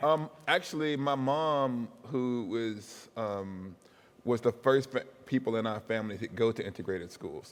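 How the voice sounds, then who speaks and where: A man with an American accent speaks at a medium pitch in a normal speaking voice. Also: ordinary pitch variation, fairly slow pace. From US South, Huntsville, Alabama. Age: 40s. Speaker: professor. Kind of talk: interview.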